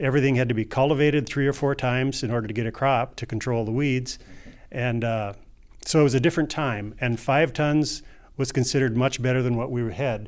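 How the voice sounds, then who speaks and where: A man with an unremarkable speaking voice talks at a fairly quick pace in a medium pitch, his intonation fairly even, on a very clean recording with a silent background. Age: 60s. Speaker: farmer. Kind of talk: panel discussion.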